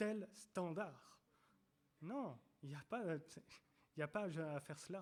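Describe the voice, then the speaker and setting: High pitch and ordinary pitch variation in a man's voice. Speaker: preacher. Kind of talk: sermon. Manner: halting, many repetitions.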